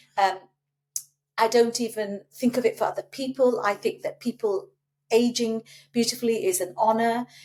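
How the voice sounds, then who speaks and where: A woman with a British accent speaks at a fairly high pitch with fairly even intonation. She leaves long, frequent pauses. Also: moderate pace. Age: 60s. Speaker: breast cancer survivor. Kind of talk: casual chat.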